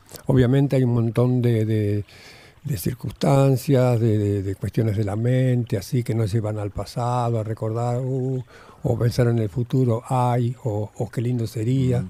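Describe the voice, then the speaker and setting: With an Argentine accent, a man talks at a fairly slow pace in a medium pitch, his intonation fairly even and his tone dark and mellow. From Argentina, Buenos Aires. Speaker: Zen monk. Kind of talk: radio interview. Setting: radio studio.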